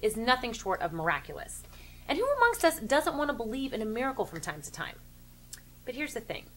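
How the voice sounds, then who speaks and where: A woman talks at a very fast pace in a high pitch. Her pitch swings very widely over light background noise. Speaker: sports commentary show host. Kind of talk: commentary. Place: home room.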